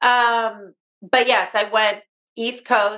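The voice has a bright, sharp tone and a Californian accent. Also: woman. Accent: Californian American. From Los Angeles, US. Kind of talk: interview.

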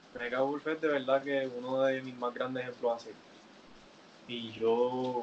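Over noticeable background noise, a man speaks at a fairly slow pace in a medium-pitched voice with monotone, flat intonation. His loudness swings widely, and he leaves long, frequent pauses. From Puerto Rico, Carolina. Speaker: professional wrestler. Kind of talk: interview.

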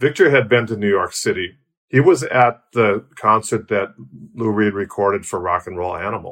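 A man with an American accent speaks in a plain, everyday voice at a moderate pace. His pitch is medium with ordinary variation, against a quiet background. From US Midwest, Milwaukee, Wisconsin. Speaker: rock bass player. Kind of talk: casual interview.

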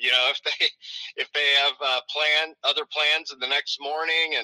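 A man with an American accent speaks in a dry, close recording with no echo. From US South. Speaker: venue marketing director. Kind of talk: casual interview.

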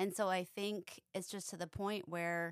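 Speaking at a fairly slow pace, a woman uses a clear, smooth tone at a fairly low pitch. Her pitch moves very little.

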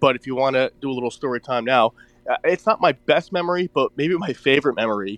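A man with an American accent speaks very fast at a fairly high pitch. The sound is dry and close, with no echo. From New Jersey. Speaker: horse racing handicapper. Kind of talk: casual betting chat.

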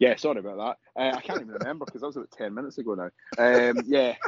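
Delivered at a very fast pace, the voice has a slightly husky edge and ordinary pitch variation, with a dry, close sound and no echo. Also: man, medium pitch for a man.

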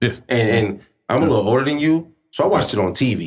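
An ordinary speaking voice from a man with an American accent, at a fairly quick pace, on a very clean recording with a silent background. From Springfield, Illinois. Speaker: podcast host. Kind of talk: casual chat.

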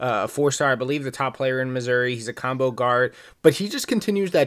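Using an ordinary speaking voice, a man speaks fairly quickly. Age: 20s. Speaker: podcast host. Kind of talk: casual sports discussion.

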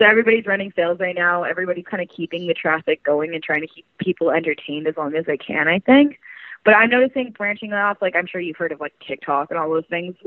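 Speaking very fast with a Canadian accent, a woman uses a fairly low pitch, ordinary pitch variation and big swings in loudness. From Canada, rural British Columbia. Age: 20s. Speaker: adult entertainer. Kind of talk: casual interview chat. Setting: phone call.

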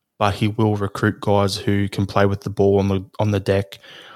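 Moderately paced, monotone, flat speech from a fairly low-pitched man on a very clean recording with a silent background. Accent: Australian. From Australia, Melbourne. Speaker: football fan, podcast founder. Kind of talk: casual chat.

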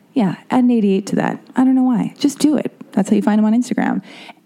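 Fast pace, a dark, mellow tone and ordinary pitch variation. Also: woman, fairly high pitch for a woman.

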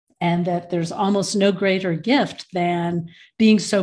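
Fairly slow and fairly low in pitch, a woman speaks in a plain, everyday voice with fairly even intonation. The background is quiet. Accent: American. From US Midwest, Michigan. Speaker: end of life educator. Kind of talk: casual interview.

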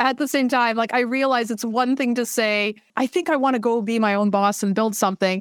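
With a Canadian accent and a plain, everyday voice, a woman speaks at a fairly high pitch with very even loudness and hardly any pauses. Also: ordinary pitch variation. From Canada, Vancouver. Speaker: startup founder. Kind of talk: interview.

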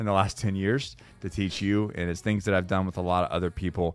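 He has a normal speaking voice, a fairly low pitch and fairly even intonation, and this man moves at a fairly quick pace. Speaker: podcast host. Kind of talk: casual interview chat.

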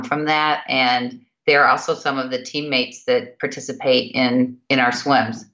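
This woman has a very deep, low pitch. She speaks at a moderate pace. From Kentucky, Louisville. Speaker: nonprofit board chair, finance executive. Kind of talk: interview. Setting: video call.

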